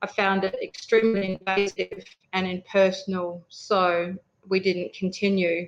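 Music plays in the background as a woman with an Australian accent speaks at a fairly slow pace and medium pitch in a monotone, flat intonation. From Western Australia. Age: 50s. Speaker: emergency management advisor. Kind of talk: interview testimony.

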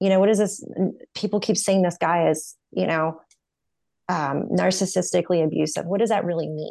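A woman with a fairly low pitch, a dark, mellow tone and vocal fry speaks at a moderate pace with fairly even intonation over a quiet background. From US South, North Carolina. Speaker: podcast host and therapy student. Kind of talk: interview.

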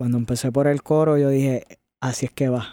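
A man's fairly high-pitched voice, dark and mellow in tone, monotone and flat, at a moderate pace, in a very clean, dry, close recording with no echo and a silent background. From Puerto Rico, west (Añasco). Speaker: singer-songwriter. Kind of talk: interview.

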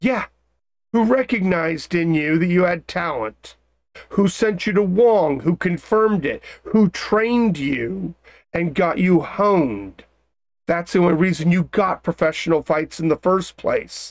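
The speaker uses a put-on character voice at middle pitch. The pace is moderate. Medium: actual play. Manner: exasperated, lecturing.

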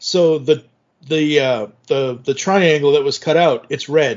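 An ordinary speaking voice from a man, fairly high in pitch and at a fairly slow pace. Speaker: podcast host. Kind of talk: casual chat.

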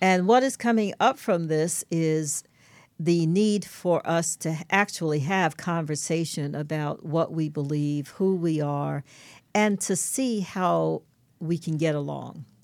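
A woman with an American accent at a fairly low pitch, ordinary pitch variation and a very slow pace, in a very clean recording with a silent background. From New York, Brooklyn. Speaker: co-host, interfaith alliance president. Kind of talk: casual chat.

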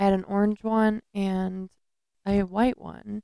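This woman's voice is dark and mellow at a medium pitch, recorded with a dry, close sound and no echo. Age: 30s. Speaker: true crime podcast co-host. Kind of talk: casual chat.

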